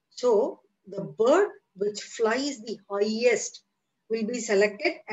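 Quiet background behind a natural reading voice

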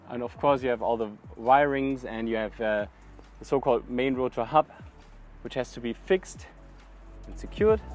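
Faint background music, a man's voice with ordinary pitch variation, big swings in loudness, long and frequent pauses, a dry sound with no echo. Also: moderate pace. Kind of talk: tutorial. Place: open country.

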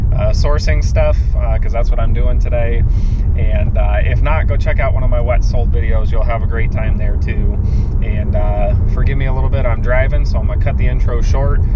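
A man talks at a moderate pace over loud background noise. The sound itself is dry, with no echo. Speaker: reseller vlogger. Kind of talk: casual vlog chat. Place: car. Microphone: phone near.

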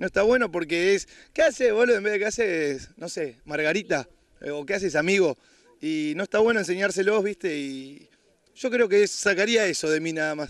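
A man's high voice with lively intonation. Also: moderate pace. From Buenos Aires, Argentina. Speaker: reality show contestant donating to charity. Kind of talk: interview. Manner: halting.

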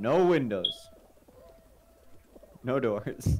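A man speaks very slowly at a medium pitch, with very wide pitch swings. Noticeable background noise runs underneath. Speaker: gaming streamer. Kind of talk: casual chat. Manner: animated.

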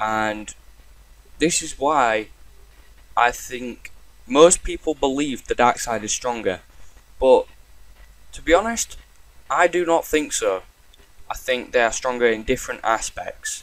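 Long pauses come often in this man's speech. His delivery is fairly slow. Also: big swings in loudness. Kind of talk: casual talk to camera.

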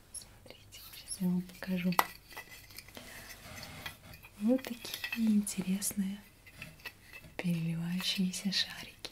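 Soft-spoken delivery at a very slow pace, with noticeable background noise. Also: woman. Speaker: shop seller role-play. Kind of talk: soft role-play shop talk. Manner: soft, quiet ASMR voice. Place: home room. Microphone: webcam.

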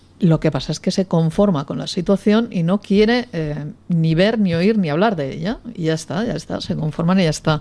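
A woman speaks at a moderate pace with hardly any pauses. Her fairly low voice is dark and mellow, with ordinary pitch variation. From Catalonia. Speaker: politician. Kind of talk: panel debate. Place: studio.

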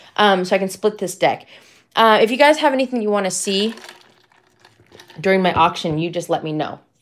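A woman's raspy put-on character voice at medium pitch and moderate pace, with lively intonation and long, frequent pauses. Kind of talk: customer service voice. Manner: polite, service-oriented.

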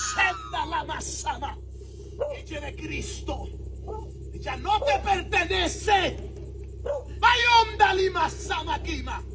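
A man shouts at a very slow pace, with long, frequent pauses and big swings in loudness. Noticeable background noise and audible room echo fill the recording. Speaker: street preacher. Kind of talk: street preaching and deliverance prayer. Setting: outdoors on the street. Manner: shouting.

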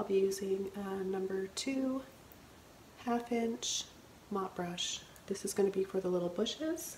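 In a room with audible echo and light background noise, a soft-spoken woman talks at a fairly slow pace with ordinary pitch variation. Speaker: painting instructor. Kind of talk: painting tutorial narration. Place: studio.

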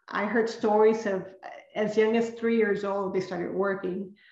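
In a room with audible echo but a quiet background, a woman speaks at a moderate pace with fairly even intonation. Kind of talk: lecture. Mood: earnest, reflective. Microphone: webcam.

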